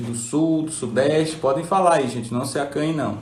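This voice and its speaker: A man with a fairly high voice speaks at a fairly slow pace, somewhat breathy, with ordinary pitch variation and audible room echo. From northern Brazil (Belém, Pará) then Paraíba. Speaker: neurologist. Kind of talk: live stream chat. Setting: Instagram live.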